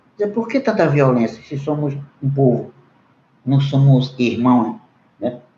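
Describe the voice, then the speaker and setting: A man with a non-native accent speaks fairly slowly in a fairly high, somewhat breathy voice with a dark, mellow tone. His intonation is lively. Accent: non-native Portuguese, self-described weak. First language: Munduruku (speaking Portuguese). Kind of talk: panel debate remarks. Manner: halting, with hesitations.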